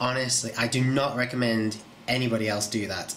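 With a British accent, a man speaks in fairly even intonation against noticeable background noise. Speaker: video channel creator. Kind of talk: casual vlog update. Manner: informal, hesitant with fillers.

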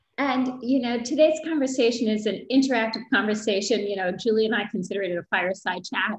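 A woman speaks at a moderate pace in a somewhat breathy voice with ordinary pitch variation, a quiet background and audible room echo. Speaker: webinar host. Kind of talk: interview chat. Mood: warm, upbeat. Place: home room. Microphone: video call.

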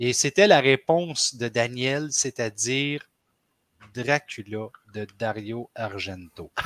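Loudness swings widely as a man speaks at a very slow pace with ordinary pitch variation. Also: dry sound with no echo. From Quebec. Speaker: podcast host. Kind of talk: casual chat. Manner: animated. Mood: playful, smiling. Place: home room.

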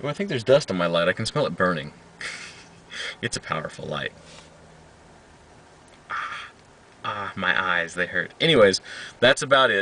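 A man with a fairly low voice, very wide pitch swings, a moderate pace, long and frequent pauses, and a dry sound with no echo. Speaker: audio hobbyist vlogger. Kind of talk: casual vlog chat. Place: car. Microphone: phone near.

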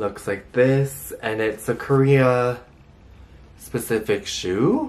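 The words come from a man at a very slow pace. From Korean background. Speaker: lifestyle YouTuber. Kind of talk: casual haul video talk. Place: home room. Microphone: phone near.

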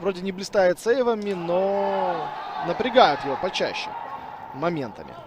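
Noticeable background noise sits under speech that moves at a fairly slow pace with long, frequent pauses. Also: man, high pitch for a man, ordinary pitch variation. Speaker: football commentator. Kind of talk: live sports commentary. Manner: excitable on goals and dangerous moments.

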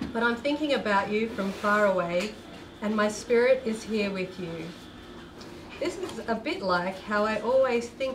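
The speaker keeps a moderate pace with ordinary pitch variation, over noticeable background noise. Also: woman. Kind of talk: reading a letter aloud at an event. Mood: warm, slightly amused.

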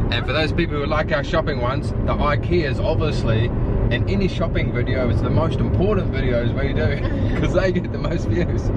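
Over loud background noise, a man speaks at a fairly quick pace. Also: dry sound with no echo. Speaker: vlogger. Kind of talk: casual vlog chat. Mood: playful, joking. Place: car. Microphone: phone near.

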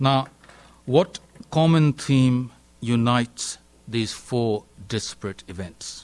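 A man talks very slowly with long, frequent pauses and ordinary pitch variation. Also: medium pitch for a man. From India. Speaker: professor of international relations; guest lecturer. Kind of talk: lecture. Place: hall.

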